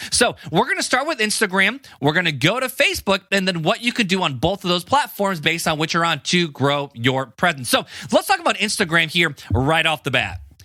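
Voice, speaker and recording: Noticeable background noise sits behind a man with an American accent whose high, animated voice makes very wide pitch swings with hardly any pauses. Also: fairly quick pace. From US Midwest (Hammond, Indiana). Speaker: podcast host. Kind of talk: casual podcast talk. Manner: fast.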